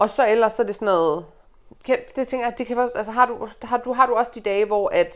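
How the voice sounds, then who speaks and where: On a very clean recording with a silent background, a woman talks at a fairly quick pace with a bright, sharp tone, a fairly high pitch and ordinary pitch variation. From Aalborg, northern Jutland, Denmark. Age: 20s. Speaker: journalist and fat activist. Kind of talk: casual interview chat. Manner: halting, many fillers.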